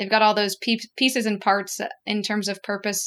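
A woman speaks in a normal speaking voice at a medium pitch. Her intonation is fairly even and her pace fairly quick. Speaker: podcast co-host interviewer. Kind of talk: casual interview.

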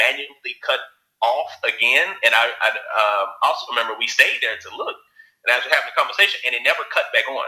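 At a fairly quick pace, a man speaks in a Southern US accent. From Alabama. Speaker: writer and producer. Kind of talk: interview.

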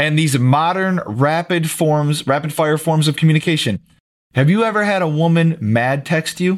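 This man has an ordinary speaking voice, fairly high in pitch with ordinary pitch variation. His loudness stays very even. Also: moderate pace. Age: 30s. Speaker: podcast co-host. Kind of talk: casual chat.

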